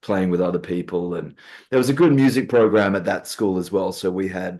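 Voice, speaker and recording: A man with an Australian accent and a fairly low pitch talks at a fairly quick pace against a quiet background. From Western Australia (Perth). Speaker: guitarist, gigging musician. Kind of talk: casual interview chat.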